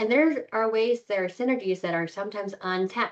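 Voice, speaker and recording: Soft-spoken and with an American accent, a woman talks at a medium pitch with ordinary pitch variation. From Texas, Houston. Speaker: corporate lawyer. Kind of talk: interview.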